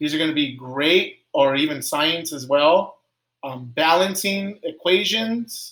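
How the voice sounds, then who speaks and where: This man talks in a normal speaking voice, pitched fairly high, with ordinary pitch variation. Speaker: elementary school teacher. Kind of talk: screen-share tutorial. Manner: casual, filler-heavy.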